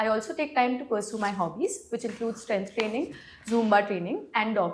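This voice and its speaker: Her voice somewhat breathy, a woman talks with pitch that varies in an ordinary way. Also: fairly high pitch for a woman, moderate pace. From India, Gurugram, Haryana. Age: 20s. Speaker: civil services exam candidate. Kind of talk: mock job interview. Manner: energetic.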